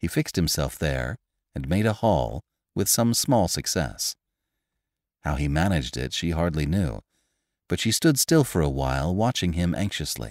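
In a dramatic tone, a man with a very deep, low pitch and vocal fry speaks at a moderate pace with very wide pitch swings and long, frequent pauses, on a very clean recording with a silent background and a dry, close sound with no echo. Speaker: audiobook narrator. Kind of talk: dramatic narration of a Victorian short story, read aloud with character voices. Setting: studio. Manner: measured, expressive storytelling pace with dramatic emphasis.

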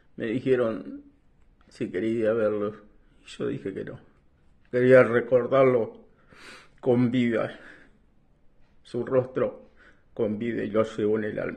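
Against a quiet background, a man talks very slowly with fairly even intonation and long, frequent pauses. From Buenos Aires province, Argentina. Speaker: war veteran. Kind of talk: testimony. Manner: halting. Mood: grieving, remorseful. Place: home room. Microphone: phone near.

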